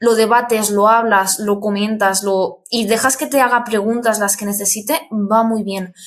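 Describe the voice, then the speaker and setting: Using an unremarkable speaking voice, a woman talks at a fairly high pitch and a fairly slow pace. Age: 20s. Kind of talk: interview conversation.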